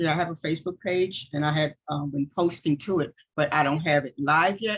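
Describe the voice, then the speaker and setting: Very deep, low female voice, intonation kept fairly even. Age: 60s. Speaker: aspiring notary, retired military nurse. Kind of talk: Q&A on a video call. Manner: halting, many fillers.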